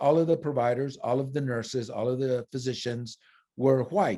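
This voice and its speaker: A man speaks at a medium pitch in a dark, mellow tone. The recording is very clean, with a silent background. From Phoenix, Arizona (Mexican-American family). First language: Spanish. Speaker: nurse. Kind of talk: interview testimony. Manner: halting, with fillers and self-corrections.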